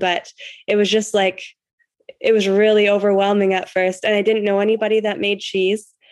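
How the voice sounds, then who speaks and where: Woman with a Western Canadian accent at a fairly quick pace. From Canada. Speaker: cheesemaking teacher and rancher. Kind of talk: casual interview.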